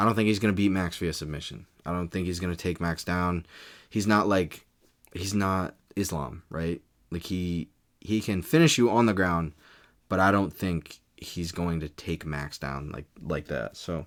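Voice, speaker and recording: A man at a moderate pace, very deep and low in pitch, on a very clean recording with a silent background. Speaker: YouTuber, MMA commentator. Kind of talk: casual video commentary and prediction. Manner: monotonous; hesitant, many fillers and restarts.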